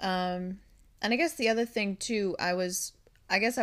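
A woman with a plain, everyday voice and an American accent speaks at medium pitch and a fairly quick pace with ordinary pitch variation, on a very clean recording with a silent background. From Minnesota. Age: 30s. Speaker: co-host, host's wife. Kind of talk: casual chat. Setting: studio.

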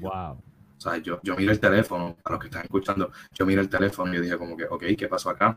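Spoken very fast with a Puerto Rican accent. The intonation stays fairly even. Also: man, very deep, low pitch for a man. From Puerto Rico, Caguas. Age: 30s. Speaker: film project founder and TV worker. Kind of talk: casual interview. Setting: live-streamed podcast.

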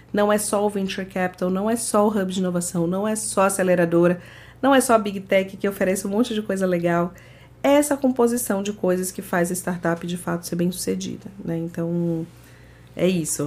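A woman talks at a fairly quick pace in a plain, everyday voice. Her pitch is medium, with ordinary variation. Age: 30s. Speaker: startup program manager at a tech company. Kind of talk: podcast interview.

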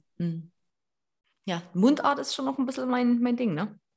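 Somewhat breathy, a woman speaks at a moderate pace. Her pitch swings very widely. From Erzgebirge, Saxony. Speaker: podcast host. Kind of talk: casual chat. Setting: online call.

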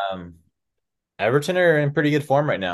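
A man with an American accent, fairly quick and with lively intonation, against a quiet background. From USA. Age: 30s. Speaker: football podcast host. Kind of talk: casual chat.

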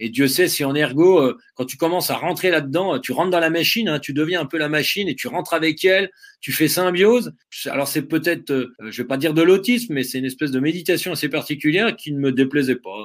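Over a very clean recording with a silent background, a man talks at a very fast pace with a fairly high pitch and ordinary pitch variation. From Vosges, eastern France. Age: 40s. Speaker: ultra-trail runner and adventurer. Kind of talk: interview. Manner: hesitant, many fillers.

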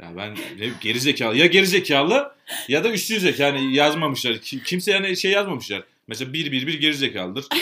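Lively intonation at a fairly quick pace. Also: man. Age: 20s. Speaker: podcast co-host. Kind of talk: casual chat. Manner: coquettish, flirtatious way of talking; animated, laughing often.

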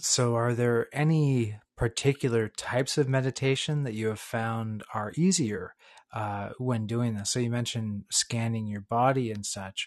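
A man talks at a fairly slow pace with a medium pitch and fairly even intonation, in a normal speaking voice. The background is quiet. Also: hardly any pauses, dry, close sound with no echo. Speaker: podcast host. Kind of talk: casual interview. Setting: video call.

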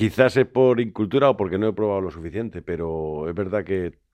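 A man talks in a very deep, low voice. The background is quiet. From Madrid, Spain (born in A Coruña). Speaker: fishmonger and seafood expert. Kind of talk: interview. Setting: studio.

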